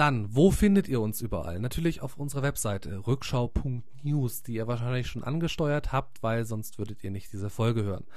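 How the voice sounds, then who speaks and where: A man talks at a medium pitch, somewhat breathy. There is audible room echo. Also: lively intonation, moderate pace, hardly any pauses. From Munich, Bavaria. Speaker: podcast host, former radio newsreader. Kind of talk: podcast intro.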